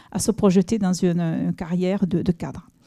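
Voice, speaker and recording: A woman with a Toulouse accent, medium pitch and a dark, mellow tone, in a very clean recording with a silent background and a dry, close sound with no echo. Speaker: senior education official. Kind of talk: official speech. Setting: inauguration event with audience. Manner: halting, many hesitations.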